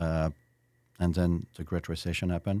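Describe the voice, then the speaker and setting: In a very clean recording with a silent background, a man with a French accent speaks in a very deep, low pitch with a dark, mellow tone, flat monotone intonation, and a dry, close sound with no echo. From France (Versailles). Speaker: restaurateur. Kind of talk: interview.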